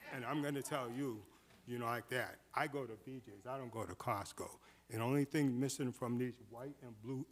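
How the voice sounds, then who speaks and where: An ordinary speaking voice belongs to this man, pitched at a medium level. He keeps a moderate pace and fairly even intonation. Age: 60s. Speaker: public commenter at city meeting. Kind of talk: public comment.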